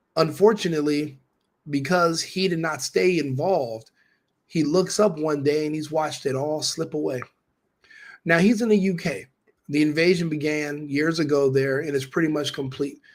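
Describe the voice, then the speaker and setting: A man speaks with an ordinary speaking voice at a moderate pace. His fairly high pitch shows ordinary variation. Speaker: political commentator. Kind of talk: commentary monologue to camera.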